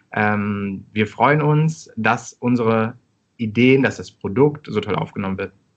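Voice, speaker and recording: Talking at a very slow pace, a man has medium pitch and ordinary pitch variation. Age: 30s. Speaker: startup co-founder. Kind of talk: interview.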